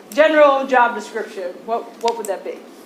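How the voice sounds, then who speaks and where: With lively intonation, a woman speaks amid noticeable background noise and audible room echo. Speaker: agriculture professor and farmer. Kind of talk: presentation to county commissioners. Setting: county commissioners meeting, standing at a microphone. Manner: loud.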